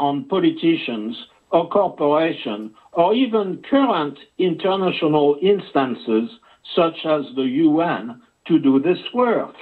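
A man with a French accent at a very slow pace, making very wide pitch swings over a quiet background. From France. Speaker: journalist. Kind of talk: interview. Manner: halting. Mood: grave, urgent warning. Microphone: video call.

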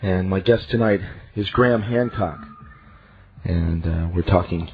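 Male speech, its pitch moving in an ordinary way, against faint background noise. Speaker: radio talk show host. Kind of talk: radio DJ patter: station-break plug spelling out guest's web address. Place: studio.

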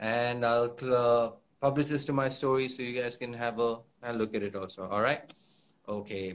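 Fairly quick speech comes from a man. His pitch variation is ordinary. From Punjab. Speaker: actor. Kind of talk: casual chat. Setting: Instagram live video. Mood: friendly, relaxed. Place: home room. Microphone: phone near.

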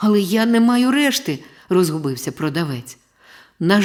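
The speaker uses an unforced reading voice with lively intonation. The background is quiet.

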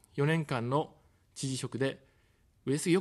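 A man's voice against a quiet background. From Tokyo. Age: 40s. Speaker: political candidate, former journalist; candidate, former journalist. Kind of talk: campaign broadcast speech. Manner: formal. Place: studio. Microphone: studio mic.

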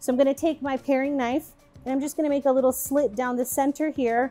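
Faint music plays in the background. A woman speaks at a high pitch. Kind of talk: cooking tutorial. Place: kitchen.

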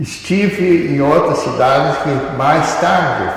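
Strong room echo carries a man's voice with lively intonation. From southern Brazil. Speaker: retired radiology professor and physician. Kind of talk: oral history interview answer. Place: hall.

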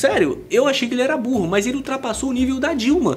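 A man does the talking. Noticeable background noise can be heard. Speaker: YouTuber reacting to videos. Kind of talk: reaction commentary. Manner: animated.

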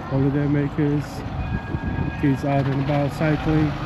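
Dry sound with no echo under loud background noise. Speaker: walking vlogger. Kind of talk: casual vlog chat. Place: street. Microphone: phone near.

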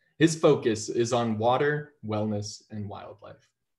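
A man's somewhat breathy voice at a fairly slow pace, over a quiet background. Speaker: webinar moderator. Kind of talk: introducing panel speakers. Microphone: video call.

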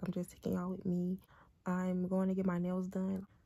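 A woman's medium-pitched, somewhat breathy voice, dark and mellow in tone, at a fairly quick pace. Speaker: lifestyle vlogger. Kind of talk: casual vlog.

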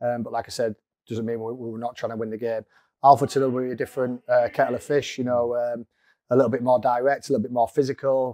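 Dry and close with no echo, a man talks fast at a medium pitch in a slightly mellow tone.

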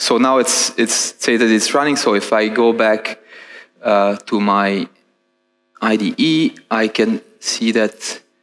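A man with an Italian accent at a very slow pace, with fairly even intonation and very even loudness against a quiet background. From Italy. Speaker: software engineer; conference presenter. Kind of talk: conference talk with live demo. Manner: halting, many fillers and repetitions. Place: stage.

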